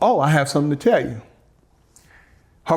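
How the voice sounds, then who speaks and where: A man talks with a slight Southern US accent. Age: 40s. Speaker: interview guest, ex-husband. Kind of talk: interview, personal testimony. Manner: halting, repeating himself.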